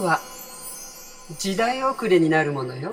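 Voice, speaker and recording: A woman takes a fairly slow pace while music plays in the background. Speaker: painter / artist. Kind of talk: motivational quote narration with commentary.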